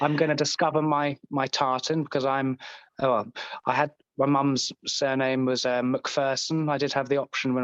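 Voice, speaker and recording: Against a quiet background, a man speaks in a flat monotone at very even loudness, recorded with a dry, close sound and no echo. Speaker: comedian in recovery. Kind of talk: casual podcast interview.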